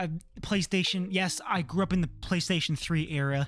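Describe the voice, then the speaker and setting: A man with a Canadian accent has a normal speaking voice and talks at a fairly quick pace with ordinary pitch variation. The recording is very clean, with a silent background. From Canada. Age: 20s. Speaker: manga and game collector YouTuber. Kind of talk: casual room tour vlog. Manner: casual, filler-heavy.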